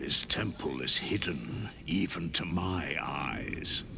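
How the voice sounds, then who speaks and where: In a put-on character voice, a man speaks very slowly with a menacing tone. Loud background noise surrounds him. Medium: video game. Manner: imperious, menacing.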